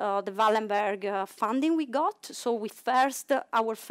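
A woman with an Italian accent speaks at a fairly slow pace over a quiet background. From Italy. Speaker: cryo-EM facility manager. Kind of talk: conference talk. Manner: halting. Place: hall.

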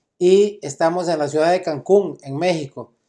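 A man with a Costa Rican accent speaks at a moderate pace in a dark, mellow tone against a quiet background. His pitch is high, with ordinary variation. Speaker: lawyer and interviewer; lawyer, interviewer. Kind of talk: interview. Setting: conference venue. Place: meeting room. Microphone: camera far.

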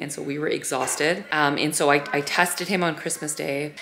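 Fairly quick speech with fairly even intonation comes through noticeable background noise. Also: woman. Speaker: family vlogger. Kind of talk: casual vlog chat. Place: home room. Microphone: phone near.

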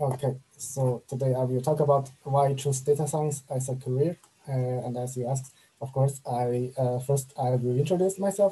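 A man's somewhat breathy voice with a dark, mellow tone, fairly even intonation and a moderate pace. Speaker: speaker. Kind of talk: online presentation talk. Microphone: webcam.

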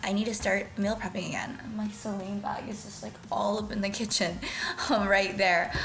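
A woman speaking over faint background music. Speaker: lifestyle vlogger. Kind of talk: casual vlog chat. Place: kitchen. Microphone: phone near.

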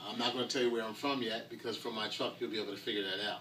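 Light background noise sits under a voice with a New Jersey accent. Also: man. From New Jersey (Trenton). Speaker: oil dealer and food truck owner. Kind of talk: customer testimonial. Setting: inside food truck. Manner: casual, animated. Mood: relaxed, friendly. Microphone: camera far.

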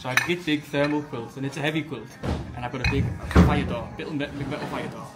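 Loud music plays in the background. Over it, a man talks at a fairly quick pace. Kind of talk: casual storytelling. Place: bar.

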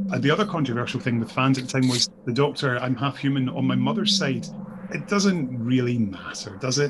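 Against noticeable background noise, a man with a medium pitch talks at a fairly quick pace with lively intonation. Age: 40s. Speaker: podcast co-host. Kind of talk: casual chat.

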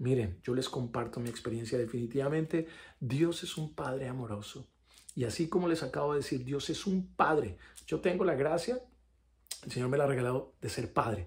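A man with a somewhat breathy voice talks at a moderate pace, his intonation lively. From Colombia. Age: 40s. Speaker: actor giving faith testimony. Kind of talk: testimony. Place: home room. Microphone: phone near.

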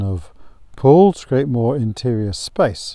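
This man's voice has a dark, mellow tone. The sound is dry, with no echo. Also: quiet background. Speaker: backpacking gear reviewer. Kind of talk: tutorial. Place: open country.

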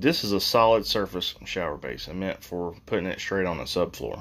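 A man's very deep, low voice, fairly slow, with lively intonation. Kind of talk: casual DIY vlog narration. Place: bathroom. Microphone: phone near.

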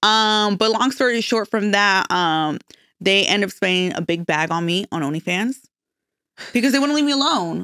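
A woman talks in a bright, sharp, animated tone with lively intonation. The sound is dry with no echo, over a quiet background. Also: moderate pace. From Mexico, Michoacan. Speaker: social media influencer. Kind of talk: casual chat. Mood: relaxed, candid. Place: studio. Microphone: studio mic.

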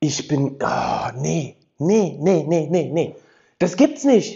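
Animated man's voice with very wide pitch swings over a quiet background. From Rheinhessen, Germany (near the Palatinate border). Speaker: political YouTuber. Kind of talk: opinion commentary vlog. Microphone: lapel.

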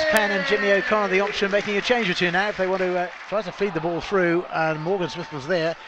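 A man's animated, high-pitched voice at a very fast pace, with ordinary pitch variation, hardly any pauses and crowd noise in the background. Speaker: football commentator. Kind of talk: live radio-style football match commentary. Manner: animated, fast-paced play-by-play, rising on goals and chances.

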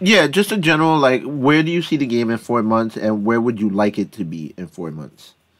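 The voice swings very widely in pitch and varies a great deal in loudness, moving at a fairly quick clip with hardly any pauses. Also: man, medium pitch for a man. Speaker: gaming community podcast host. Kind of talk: casual chat.

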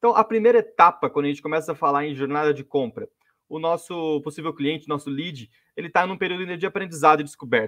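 In a quiet setting, a man speaks at a very fast pace, his fairly high pitch showing ordinary variation. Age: 20s. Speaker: marketing specialist. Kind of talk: webinar presentation. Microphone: video call.

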